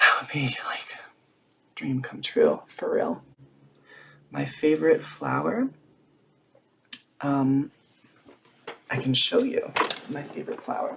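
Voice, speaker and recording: Quiet speech at a very slow pace, broken by long, frequent pauses. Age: 20s. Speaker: drag queen vlogger. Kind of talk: casual Q&A vlog. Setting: at home with blanket and tea. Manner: quiet, reserved; hushed to keep quiet.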